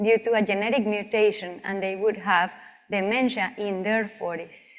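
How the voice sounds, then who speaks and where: A woman speaks with a Colombian accent. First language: Spanish. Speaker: physician researcher. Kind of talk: lecture.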